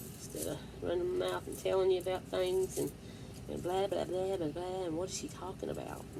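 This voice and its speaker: With audible echo from the room, the woman's words come out at a fairly quick speed. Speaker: vlogger. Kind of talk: casual chat. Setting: home at night. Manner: loud; whispering.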